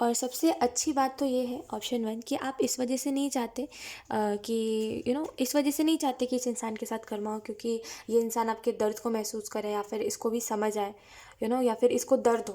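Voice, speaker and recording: A woman's high voice, dark and mellow in tone, at a moderate pace with fairly even intonation. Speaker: tarot reader. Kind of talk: tarot reading. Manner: casual, mixes English phrases.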